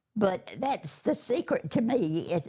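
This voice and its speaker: Somewhat breathy with a dark, mellow tone, a woman with an eastern North Carolina accent speaks at a fairly slow pace with very wide pitch swings. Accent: Southern US, eastern North Carolina. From US South, eastern North Carolina. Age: 80s+. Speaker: churchgoer giving testimony. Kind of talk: testimony.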